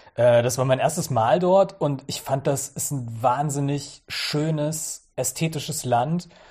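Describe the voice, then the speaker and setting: A very clean recording with a silent background carries this voice. It is somewhat breathy and varies in pitch in an ordinary way. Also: man. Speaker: journalist. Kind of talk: casual interview.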